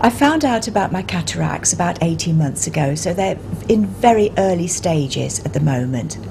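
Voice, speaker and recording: A woman with a London accent speaks at a moderate pace in a fairly low voice, her pitch swinging very widely, with noticeable background noise and audible room echo. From South London. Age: 60s. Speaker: music teacher, cataract patient. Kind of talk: interview testimony.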